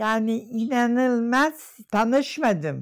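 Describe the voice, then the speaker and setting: A woman with a fairly high pitch speaks at a very slow pace with lively intonation. The background is quiet. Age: 80s+. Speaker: professor. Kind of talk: interview answer. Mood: moved, reflective remembering. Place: home room. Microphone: lapel.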